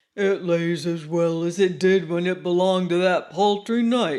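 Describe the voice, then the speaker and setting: At a moderate pace, a man talks in a high pitch with a put-on character voice. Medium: read story.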